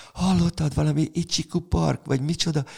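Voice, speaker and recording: At a fairly quick pace, a man with a dark, mellow tone lets his pitch swing very widely. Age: 70s. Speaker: music history teacher. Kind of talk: casual chat.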